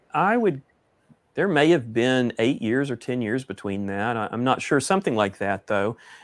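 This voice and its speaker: A man speaks at a moderate pace and medium pitch, his intonation lively. The recording is very clean, with a silent background. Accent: Texan. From East Texas. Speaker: author and pastor. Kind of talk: casual interview. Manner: halting, many fillers.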